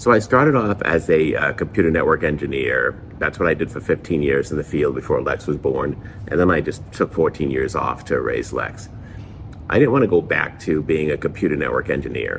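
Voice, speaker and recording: Noticeable background noise accompanies a man talking fairly quickly. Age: 50s. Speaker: high school teacher and vlogger. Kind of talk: casual vlog talk to camera. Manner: halting, many fillers and restarts.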